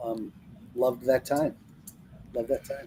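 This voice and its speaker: Ordinary pitch variation in a man's dark, mellow tone. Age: 60s. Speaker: sales leadership consultant and distribution advocate. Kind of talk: podcast conversation. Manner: animated; halting.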